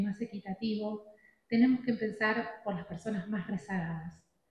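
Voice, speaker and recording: A somewhat breathy voice with an Argentine accent and fairly even intonation. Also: woman. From Argentina. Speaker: addiction treatment specialist speaker. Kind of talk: conference talk.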